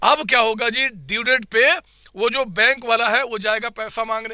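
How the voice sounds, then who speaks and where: An animated, bright and sharp tone in a raised, projected voice. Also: man. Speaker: accounting teacher. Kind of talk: online revision class. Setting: live online class with chat. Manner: repetitive, animated teaching.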